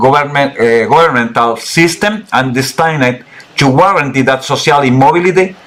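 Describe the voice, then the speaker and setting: A man speaks with a Chilean accent over noticeable background noise. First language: Spanish. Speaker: political researcher. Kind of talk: interview presentation. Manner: halting.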